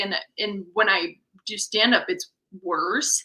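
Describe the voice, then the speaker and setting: This is a woman speaking. She has a Wisconsin accent. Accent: folksy Midwestern accent, sounds Wisconsin. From Missouri. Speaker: stand-up comedian. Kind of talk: casual chat.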